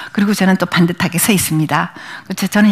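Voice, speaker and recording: Somewhat breathy, this woman speaks at a medium pitch. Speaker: image consultant and lecturer. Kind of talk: lecture. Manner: fast.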